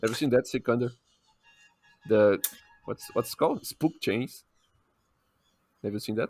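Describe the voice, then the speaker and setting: A man in a Brazilian accent with ordinary pitch variation, a dry, close sound with no echo, and music in the background. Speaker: podcast co-host. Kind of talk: casual chat.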